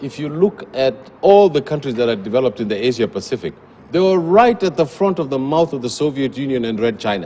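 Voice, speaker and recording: Over noticeable background noise, a man with a fairly high pitch talks very fast in an animated tone with lively intonation. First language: a Kenyan language, English is second or third. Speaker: policy research fellow, TV news guest. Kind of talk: TV panel discussion. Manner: animated, emphatic.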